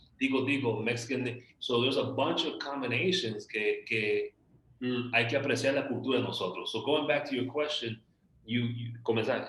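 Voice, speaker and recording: The man talks fairly quickly. His intonation is fairly even, set against noticeable background noise. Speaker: podcast host. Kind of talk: casual interview chat.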